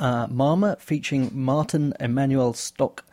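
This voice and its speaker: This woman has a dark, mellow tone. Her pitch is very deep and low. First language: German. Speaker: radio DJ. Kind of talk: radio show links. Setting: studio. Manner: halting.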